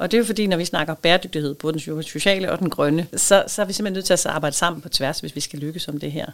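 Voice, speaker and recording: Very fast speech with hardly any pauses and ordinary pitch variation. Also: woman, fairly low pitch for a woman. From Denmark, southern Funen. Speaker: head of an industry association secretariat. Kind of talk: interview. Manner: hesitant, many fillers.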